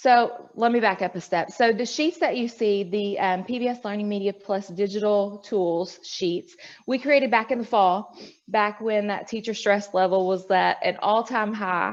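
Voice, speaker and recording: A woman with a plain, everyday voice talks at a moderate pace and medium pitch, with ordinary pitch variation and a quiet background. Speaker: educational media presenter. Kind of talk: online presentation at a professional meeting.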